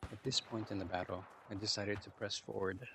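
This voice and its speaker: A man speaks quietly at a fairly low pitch. His pace is fairly quick and his intonation monotone and flat. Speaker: gamer. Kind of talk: gameplay commentary. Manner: relaxed, quiet.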